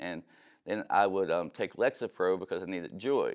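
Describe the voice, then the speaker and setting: A man speaks with an Appalachian accent. His pace is moderate. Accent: Appalachian American. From southern West Virginia (Beckley). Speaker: pastor and ministry founder. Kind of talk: testimony.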